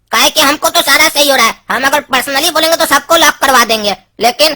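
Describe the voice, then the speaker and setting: A cartoonish, female-sounding character voice, high in pitch and very fast. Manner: rustic colloquial Hindi, teasing.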